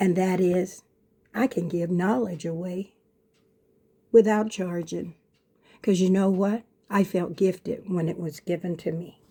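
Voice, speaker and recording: A woman speaks at a fairly slow pace and medium pitch, somewhat breathy with a dark, mellow tone, fairly even intonation, and long, frequent pauses. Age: 70s. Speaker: motivational speaker and minister. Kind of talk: motivational monologue.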